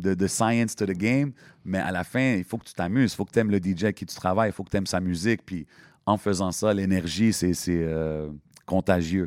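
Recorded very cleanly with a silent background and a dry, close sound with no echo, a man speaks at a very deep, low pitch with big swings in loudness. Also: ordinary pitch variation, moderate pace. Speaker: hip-hop MC and event host. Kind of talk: casual interview chat. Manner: animated.

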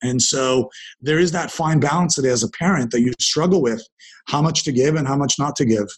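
With a fairly high pitch and ordinary pitch variation, a man speaks at a fairly quick pace in a somewhat breathy voice. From Canada, Ontario (Dundas near Hamilton). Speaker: entrepreneur and investor. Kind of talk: interview conversation. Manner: conversational with frequent repetitions.

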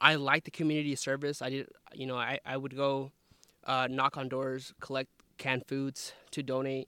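In a bright, sharp tone, a man with an American accent speaks at medium pitch and a moderate pace in a monotone, flat intonation, with a dry, close sound with no echo. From southern Idaho, US. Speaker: university staff and grad student. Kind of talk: casual chat. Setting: outdoors in a forest.

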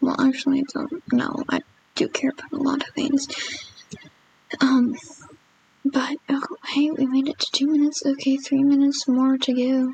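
Against noticeable background noise, a woman with a high voice speaks at a moderate pace in a monotone, flat way, with long, frequent pauses. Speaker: amateur vlogger recording first video. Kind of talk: casual monologue. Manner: halting, many fillers and restarts.

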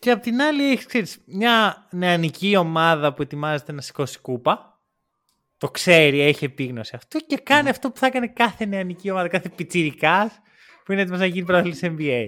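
Over a very clean recording with a silent background, a man with a high, bright, sharp voice speaks at a moderate pace, with very wide pitch swings and big swings in loudness. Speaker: podcast host. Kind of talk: casual chat.

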